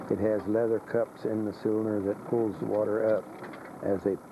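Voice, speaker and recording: A man talks in a fairly low voice with a South Carolina accent and monotone, flat intonation. Noticeable background noise is present. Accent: South Carolina Southern US. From US South. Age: 60s. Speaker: missionary preacher. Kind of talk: interview. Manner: halting, with repetitions.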